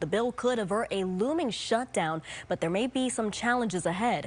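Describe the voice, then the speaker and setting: Her pitch variation ordinary and her pace moderate, a woman talks in an ordinary speaking voice. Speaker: television journalist, reporter and fill-in news anchor. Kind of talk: broadcast news reporting and anchoring.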